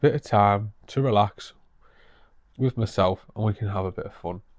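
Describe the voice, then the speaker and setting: A speaker with a northeast English accent talks at a moderate pace on a very clean recording with a silent background. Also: man. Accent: northeast English (Teesside). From northeast England, Middlesbrough. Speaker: vlogger. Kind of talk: casual vlog update.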